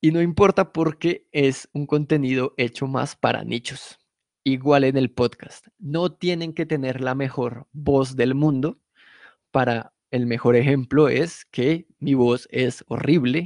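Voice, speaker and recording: A man with a fairly high pitch speaks at a very slow pace, his intonation fairly even. The sound is dry and close with no echo, and the background is quiet. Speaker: podcast producer teaching a workshop. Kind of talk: lecture. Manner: casual, conversational.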